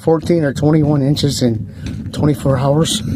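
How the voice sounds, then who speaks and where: A man with an American accent speaks at medium pitch and a moderate pace. His intonation is fairly even, and there is noticeable background noise. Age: 60s. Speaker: vlogger. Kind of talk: casual walking vlog. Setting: outdoors.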